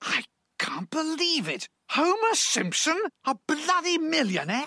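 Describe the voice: Someone uses a put-on character voice, high in pitch and at a fairly slow pace.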